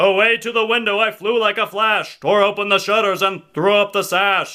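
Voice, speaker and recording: In a put-on character voice, a man talks at a high pitch and a moderate pace. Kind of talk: character impression. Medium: solo performance.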